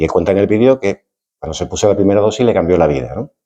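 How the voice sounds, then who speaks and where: Speaking with a very deep, low pitch and a dark, mellow tone, a man shows vocal fry and lively intonation. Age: 60s. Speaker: retired doctor. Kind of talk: lecture. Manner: halting, repeats words.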